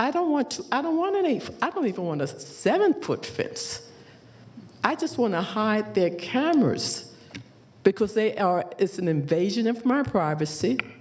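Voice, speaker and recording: A woman's pitch swings very widely at a medium tempo while background noise is clearly heard. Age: 70s. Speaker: applicant at a public hearing. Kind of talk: public hearing testimony. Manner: emphatic.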